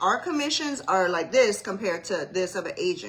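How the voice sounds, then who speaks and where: In an American accent, a woman with a medium pitch talks at a moderate pace with lively intonation. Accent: Savannah Geechee-tinged Southern. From US South, Savannah, Georgia. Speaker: mortgage loan officer. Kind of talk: casual livestream explainer. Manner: conversational, casual.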